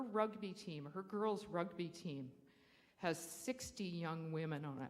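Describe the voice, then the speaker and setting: A woman speaks at a fairly slow pace with a Canadian accent, her pitch fairly low with ordinary variation. There is audible room echo. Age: 60s. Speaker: public speaker at council meeting, school trustee. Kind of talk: public comment at council meeting.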